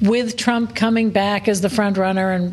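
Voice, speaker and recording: A woman's fairly high voice, fairly slow and with ordinary pitch variation, over noticeable background noise. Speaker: political journalist. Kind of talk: news analysis discussion. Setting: studio.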